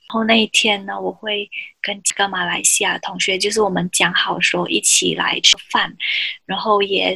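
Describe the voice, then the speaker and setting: A woman speaks at a fairly slow pace. She has a Malaysian accent. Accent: Malaysian Chinese Mandarin. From Malaysia, Johor. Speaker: podcast host. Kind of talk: casual chat.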